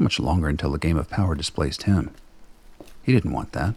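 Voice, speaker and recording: A man races through his words very fast, somewhat breathy, his pitch varying in an ordinary way. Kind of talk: radio play narration. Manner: measured, dramatic storyteller pacing.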